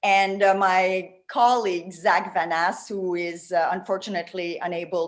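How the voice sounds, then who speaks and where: The woman's pitch is fairly low. She speaks at a fairly slow pace. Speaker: tourism marketing consultant. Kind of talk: presentation. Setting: video call. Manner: animated.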